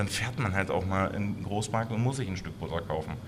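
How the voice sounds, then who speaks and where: Amid noticeable background noise and audible room echo, a man talks very fast with ordinary pitch variation. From Saxony-Anhalt, Harz region (Blankenburg). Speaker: chef and restaurant owner. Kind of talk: interview.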